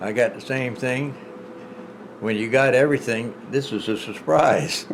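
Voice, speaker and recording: A man speaks at a fairly slow pace in a medium pitch, with ordinary pitch variation, big swings in loudness and long, frequent pauses. Audible room echo and noticeable background noise fill the recording. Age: 70s. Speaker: vlogger's husband. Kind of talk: casual chat.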